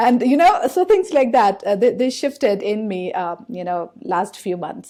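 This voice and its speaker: A woman speaks with an Indian accent in a fairly high pitch. Her tone is dark and mellow, and her pace is moderate. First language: Indian language, English not first. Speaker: podcast host. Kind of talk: podcast interview. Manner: hesitant, many fillers.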